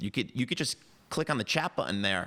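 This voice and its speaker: A man's voice has a bright, sharp tone with vocal fry. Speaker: entrepreneur. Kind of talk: interview. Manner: halting, repeats words.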